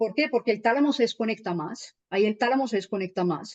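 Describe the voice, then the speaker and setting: A woman talks at a fairly quick pace and a fairly high pitch, with ordinary pitch variation. The sound is dry and close, with no echo. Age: 30s. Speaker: holistic healing teacher. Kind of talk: explanatory talk on radio show. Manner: animated.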